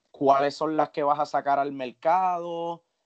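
Speaking fairly slowly, a man uses a fairly high pitch and a monotone, flat intonation. The sound is dry and close, with no echo. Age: 30s. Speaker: podcast co-host and professional musician. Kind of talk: casual interview chat.

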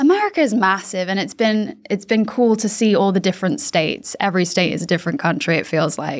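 This woman speaks at a very fast pace with hardly any pauses. Her medium-pitched voice has lively intonation. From Hong Kong. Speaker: podcast co-host. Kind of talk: casual chat.

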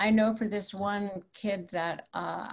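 A woman with a medium pitch speaks in a somewhat breathy voice. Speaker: clinical psychologist. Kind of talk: panel discussion.

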